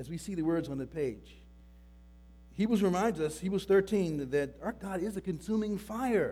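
A man speaks loudly at a high pitch with a dark, mellow tone. His pace is moderate and his intonation lively. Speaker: pastor. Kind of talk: sermon. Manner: halting.

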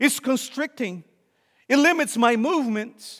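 This man's pitch is extremely high. His pitch varies in an ordinary way, and he talks at a fairly slow pace. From Brazil. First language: Portuguese. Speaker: visiting preacher. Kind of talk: sermon.

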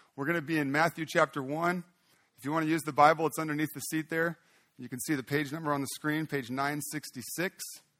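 A man with a fairly high pitch and a bright, sharp tone speaks at a very fast pace in a flat monotone. The sound is dry and close with no echo, on a very clean recording with a silent background. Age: 40s. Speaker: pastor. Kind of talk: prayer; sermon. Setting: church.

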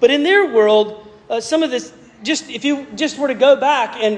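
Lively intonation from a man, with noticeable background noise. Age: 40s. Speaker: pastor. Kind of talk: sermon. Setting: church. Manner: halting, with frequent repeated words and fillers.

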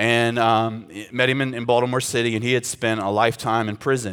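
Monotone, flat delivery from a man at medium pitch and moderate pace, in a very clean recording with a silent background. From South Carolina mountain farm country. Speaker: pastor. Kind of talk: sermon.

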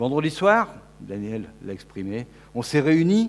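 The man's intonation is lively. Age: 50s. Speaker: preacher. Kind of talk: sermon.

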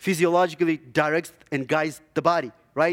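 A man talks with a non-native accent. His pitch is high. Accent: foreign. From Zimbabwe. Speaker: lay preacher, church elder and dentist. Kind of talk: sermon. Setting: church. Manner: hesitant, many filler words.

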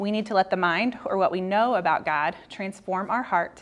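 Fairly quick and fairly even in intonation, a woman speaks at a medium pitch. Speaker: women's Bible class teacher. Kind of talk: prepared teaching, reading scripture aloud. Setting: church classroom, speaking to a group. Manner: fast talker, speeds up when nervous.

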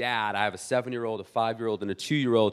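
Speaking with an American accent, a man keeps a medium pitch with ordinary variation. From US West Coast, South Bay San Diego. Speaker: pastor. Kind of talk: sermon. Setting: church. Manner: animated.

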